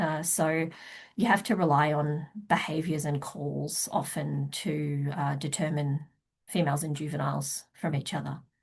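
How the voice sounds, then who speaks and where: A woman speaks in an Australian accent with a very deep, low pitch and vocal fry. The background is quiet. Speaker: wildlife researcher. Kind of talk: conference talk. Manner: hesitant, many fillers.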